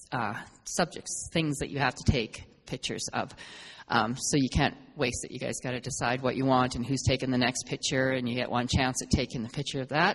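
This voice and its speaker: Speaking at a fairly quick pace, a woman keeps a very deep, low pitch with fairly even intonation. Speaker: photo club organizer. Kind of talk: club meeting announcements. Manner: fast; hesitant, many fillers.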